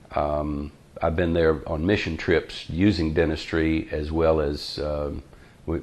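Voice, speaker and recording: Very slow, monotone delivery with flat intonation and a Southern US accent. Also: man, very deep, low pitch for a man. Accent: US South. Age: 60s. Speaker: dentist. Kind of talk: casual interview. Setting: his dental office. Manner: hesitant with fillers.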